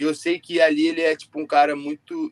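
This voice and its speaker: A man speaks with ordinary pitch variation. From Brazil. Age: 20s. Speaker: jiu-jitsu athlete; interviewee. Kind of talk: interview. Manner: casual, filler-heavy. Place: home room. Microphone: video call.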